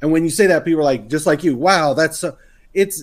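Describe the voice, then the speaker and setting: Recorded very cleanly against a silent background, a man with an American accent speaks at a fairly high pitch. He has a normal speaking voice with ordinary pitch variation. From US South, Texas. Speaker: serial entrepreneur and podcaster. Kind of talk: casual interview conversation.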